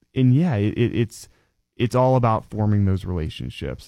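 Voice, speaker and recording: With an American accent, a man talks at a moderate pace in a fairly low pitch with ordinary pitch variation. His tone is dark and mellow, over a quiet background. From Pennsylvania (DuBois). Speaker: nonprofit youth program worker. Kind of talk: interview.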